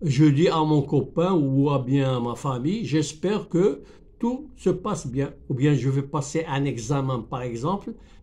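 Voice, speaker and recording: Speaking at a fairly slow pace, a man with a fairly high pitch and a dark, mellow tone sounds somewhat breathy, with ordinary pitch variation and big swings in loudness. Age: 70s. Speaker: YouTuber teaching French. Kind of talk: tutorial. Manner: halting, many repetitions.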